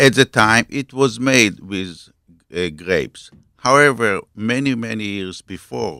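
A man with an Israeli accent speaks at a fairly slow pace with a fairly low pitch, vocal fry, and a bright, sharp tone, in a dry, close sound with no echo. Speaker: winery owner. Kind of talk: interview.

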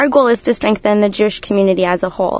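A woman with an American accent has an unremarkable speaking voice at medium pitch. Her intonation stays fairly even. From US, New Jersey (Cherry Hill, near Philadelphia). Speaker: community program coordinator. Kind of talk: radio interview. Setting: studio.

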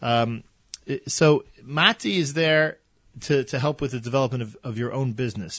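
With an American accent, a man talks at a moderate pace and medium pitch, using ordinary pitch variation. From US, Baltimore. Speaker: radio show host and rabbi. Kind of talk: radio interview and announcements.

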